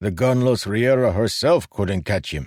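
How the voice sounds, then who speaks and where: Growling in a put-on character voice, a man talks at a moderate pace with lively intonation and a fairly low pitch. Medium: read story.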